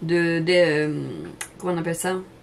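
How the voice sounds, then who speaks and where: A woman speaks with a southern French accent. Noticeable background noise sits behind her. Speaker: cooking channel host. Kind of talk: casual chat to camera. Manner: hesitant, many fillers; talkative.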